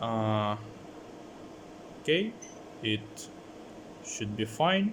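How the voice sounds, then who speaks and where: A man speaks with a non-native accent at a medium pitch. His pitch varies in an ordinary way. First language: not English. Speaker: electronics hobbyist. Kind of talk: tutorial. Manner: halting, many fillers.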